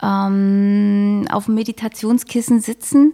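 In a dry, close recording with no echo, a woman's fairly high voice comes through dark and mellow, with fairly even intonation. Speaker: mindfulness coach and yoga teacher. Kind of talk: interview. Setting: studio. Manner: pleasant.

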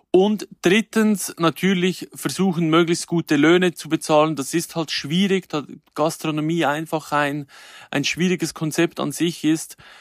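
A man with an ordinary speaking voice, fairly even intonation and a fairly slow pace, in a dry, close sound with no echo and a very clean recording with a silent background. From Switzerland, canton Glarus. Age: 30s. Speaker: chef and influencer. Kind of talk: interview.

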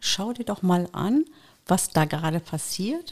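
This woman's voice sits at a medium pitch and moves at a moderate pace with lively intonation. It is an unremarkable speaking voice, captured in a very clean recording with a silent background. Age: 50s. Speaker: dog trainer. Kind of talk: casual chat.

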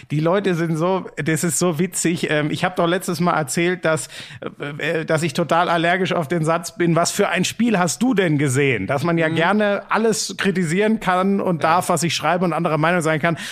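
This man has a high pitch and fairly even intonation. He keeps a moderate pace and very even loudness. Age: 30s. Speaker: sports podcast co-host. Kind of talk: casual chat.

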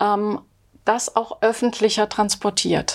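Speaking at a very slow pace, a woman talks in a fairly high pitch. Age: 50s. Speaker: sociology professor. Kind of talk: interview. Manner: hesitant, many fillers.

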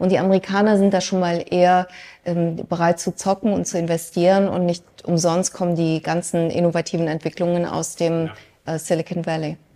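A woman speaks fairly quickly in a dark, mellow tone with fairly low pitch. Her intonation is monotone and flat. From Germany, Mönchengladbach. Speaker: business consultant and economics expert. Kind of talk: interview before a live audience.

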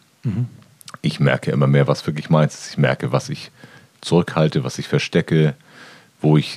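Speaking at a fairly quick pace, a man with a very deep, low pitch comes through in a dry, close sound with no echo. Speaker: podcast co-host. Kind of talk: casual chat.

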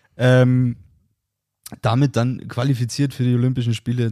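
A man talks at a medium pitch with a dark, mellow tone. His intonation stays monotone and flat. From Bavaria, Germany. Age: 20s. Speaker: podcast host. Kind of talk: casual chat.

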